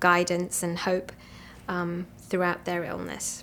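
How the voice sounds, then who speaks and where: A woman speaks with an English accent. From England. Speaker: physician. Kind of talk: interview. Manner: hesitant, many ums.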